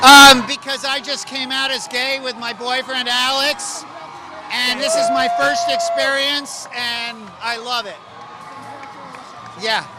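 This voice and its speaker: A man speaks at a very slow pace with an extremely high pitch, leaving long, frequent pauses. His raised, projected voice keeps a fairly even intonation over music in the background. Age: 60s. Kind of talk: street interview.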